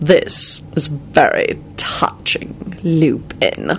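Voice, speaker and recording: Over light background noise, a man does a raspy, put-on character voice at a very slow pace. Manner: sneering.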